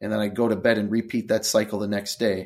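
A man with an American accent, a fairly low pitch and monotone, flat intonation, on a very clean recording with a silent background. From Wisconsin, US Midwest. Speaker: cancer survivor, author and motivational speaker. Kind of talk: interview.

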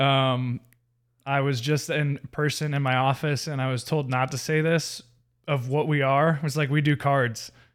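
Over a very clean recording with a silent background, a man speaks at a fairly high pitch in a monotone, flat way with very even loudness. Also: moderate pace. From US South, Marietta, Georgia. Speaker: church youth leader. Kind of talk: casual chat, personal testimony.

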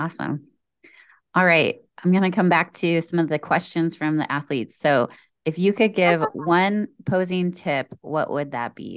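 A woman talks at a moderate pace with ordinary pitch variation. She has a plain, everyday voice, and the background is quiet. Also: fairly low pitch for a woman. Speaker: podcast host and coach. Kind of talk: interview, casual conversation. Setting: video call.

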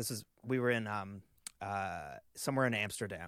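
A man talks at a fairly quick pace with ordinary pitch variation. He has an ordinary speaking voice. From Canada. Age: 30s. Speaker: touring drummer. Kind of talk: casual chat.

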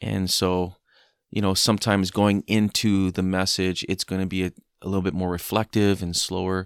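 The delivery is moderate in pace and monotone, flat in intonation. The recording is very clean, with a silent background and a dry, close sound with no echo. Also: man, very deep, low pitch for a man. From Hawaii. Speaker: worship pastor. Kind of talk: interview. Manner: hesitant, many fillers.

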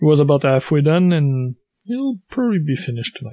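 The man's voice has a dark, mellow tone and is somewhat breathy, recorded dry and close with no echo. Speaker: podcast co-host.

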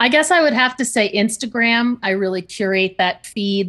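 Speaking at a moderate pace, a woman uses a medium pitch with ordinary pitch variation. The background is quiet. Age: 50s. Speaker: podcaster and communication coach. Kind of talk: interview. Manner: loud.

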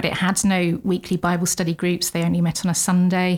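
In a very clean recording with a silent background, a woman with an English accent talks at a fairly quick pace and a medium pitch. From England. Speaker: missionary Bible teacher. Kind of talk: interview.

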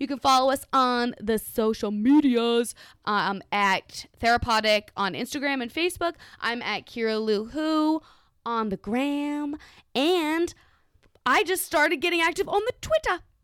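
Speaking with an American accent at a fairly slow pace, a woman uses lively intonation in a very clean recording with a silent background. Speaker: guest from another podcast. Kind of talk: casual drunk chat.

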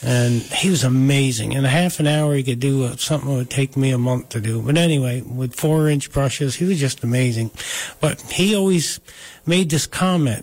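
Somewhat breathy, a man with an American accent speaks with ordinary pitch variation. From Delaware County, New York. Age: 60s. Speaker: wood artist and former sawmill owner. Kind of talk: casual chat.

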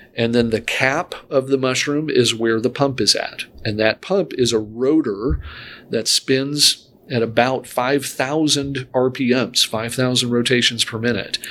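With an American accent and a plain, everyday voice, a man speaks at a fairly slow pace in a medium pitch, his intonation fairly even. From Michigan (Grand Rapids). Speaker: heart failure doctor. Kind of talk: interview about his medical work.

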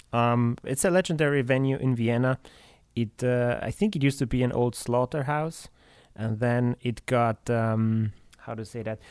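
An ordinary speaking voice from a man, medium in pitch with ordinary pitch variation, in a dry, close sound with no echo on a very clean recording with a silent background. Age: 30s. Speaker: metal drummer. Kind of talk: casual chat.

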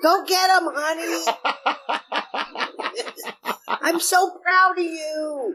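The speech crawls at a very slow pace. A put-on character voice carries it. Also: female-sounding voice, extremely high pitch for a woman. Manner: encouraging, cheering.

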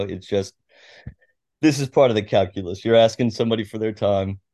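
A man's fairly low pitch and fairly even intonation, an ordinary speaking voice. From Washington State, US (Tacoma). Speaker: sports journalist. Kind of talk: interview.

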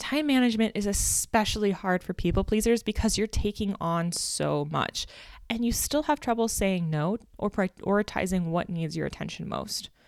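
On a very clean recording with a silent background and a dry, close sound with no echo, a woman with a plain, everyday voice speaks at a medium pitch and a moderate pace with ordinary pitch variation. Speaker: podcast host and life coach. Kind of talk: solo podcast monologue. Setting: home recording with construction noise nearby.

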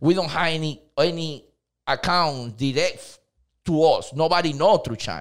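A man with a Dominican accent, at a fairly slow pace. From Dominican Republic. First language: Spanish. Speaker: cleaning company owner. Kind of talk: casual interview. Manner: halting, non-native grammar.

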